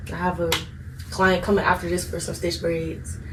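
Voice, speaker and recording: A woman speaks in an American accent. Noticeable background noise and audible room echo fill the recording. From Maryland, US (Upper Marlboro, Prince George's County). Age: 20s. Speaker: hairstylist and business owner. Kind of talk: casual interview. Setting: dorm room.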